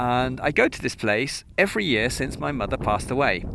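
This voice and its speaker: Noticeable background noise is audible. Over it, a man talks with a medium pitch. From southern England, Cheltenham. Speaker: podcaster. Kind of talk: personal reflection monologue. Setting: outdoors on a mountain. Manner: halting, with frequent fillers; animated.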